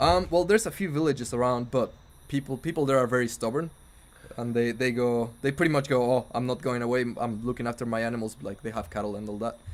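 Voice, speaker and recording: In a Mexican accent, a man at medium pitch speaks at a very fast pace with ordinary pitch variation. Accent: Mexican accent, noticeable. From Mexico, Puebla. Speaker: band keyboardist. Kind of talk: casual chat. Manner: relaxed.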